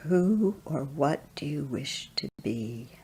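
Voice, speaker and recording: Someone delivers a put-on character voice at a very slow pace and a low-to-middle pitch. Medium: read story. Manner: mysterious, slow and solemn.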